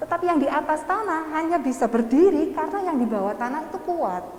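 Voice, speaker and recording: A woman's lively intonation carries at a moderate pace through noticeable background noise. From England. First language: English (speaking Indonesian). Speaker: education lecturer. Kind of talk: seminar talk. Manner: halting.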